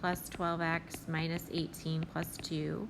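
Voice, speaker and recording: A woman speaks very slowly in a fairly low voice. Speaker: math teacher. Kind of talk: tutorial.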